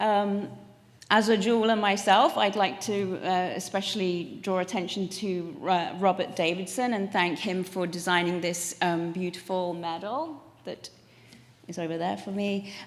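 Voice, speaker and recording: With an English accent, a woman of medium pitch speaks at a fairly slow pace with fairly even intonation amid audible room echo. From England. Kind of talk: acceptance speech. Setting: stage with audience.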